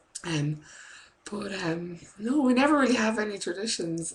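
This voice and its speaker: Over noticeable background noise, a woman talks at a fairly slow pace with an Irish accent. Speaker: preschool teacher and vlogger. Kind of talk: casual vlog chat. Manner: rambling, many fillers. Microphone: laptop webcam.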